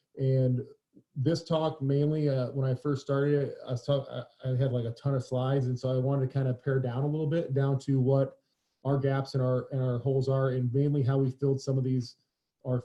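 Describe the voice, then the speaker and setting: A man's somewhat breathy voice with a dark, mellow tone, medium pitch, monotone, flat intonation and a fairly quick pace. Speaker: high school strength coach. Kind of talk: webinar presentation. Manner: fast.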